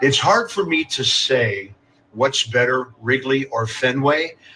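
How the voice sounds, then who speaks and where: A man speaks over noticeable background noise. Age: 70s. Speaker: baseball TV broadcaster. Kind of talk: interview. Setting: cramped broadcast booth at ballpark. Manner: casual, with frequent fillers.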